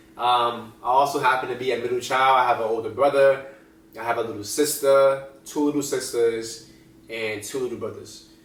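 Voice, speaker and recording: Someone with an American accent speaks in a flat monotone, with audible room echo. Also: man, medium pitch for a man. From New Jersey. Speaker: vlogger. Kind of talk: casual vlog monologue. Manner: varying pace, sometimes fast; casual, filler-heavy.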